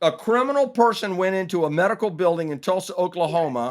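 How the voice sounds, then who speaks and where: A man talks. The recording is very clean and the background silent. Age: 50s. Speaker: podcast host. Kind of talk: casual chat. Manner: animated.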